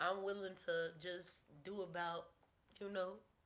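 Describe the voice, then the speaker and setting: A woman's voice at medium pitch. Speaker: recording artist. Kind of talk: casual interview.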